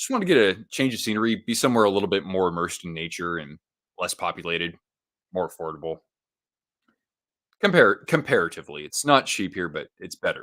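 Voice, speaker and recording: An animated man with a slight Californian accent talks at a very fast pace, with long, frequent pauses and big swings in loudness. The recording is very clean, with a silent background. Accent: slight California. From California, Monterey coast. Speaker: hockey livestream host. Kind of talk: casual livestream chat with game commentary. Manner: casual, animated.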